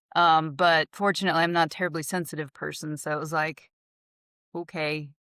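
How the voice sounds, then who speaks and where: On a very clean recording with a silent background, a woman with a Southern US accent speaks at a fairly quick pace in a bright, sharp tone, her very deep, low pitch held in a flat monotone. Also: dry, close sound with no echo. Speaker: real estate agent. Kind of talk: podcast interview. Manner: casual, conversational.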